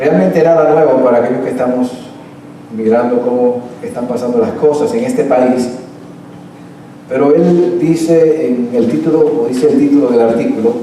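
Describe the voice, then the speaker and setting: Audible room echo and noticeable background noise surround a man's medium-pitched voice as he speaks at a moderate pace with long, frequent pauses. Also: ordinary pitch variation. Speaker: pastor. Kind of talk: sermon.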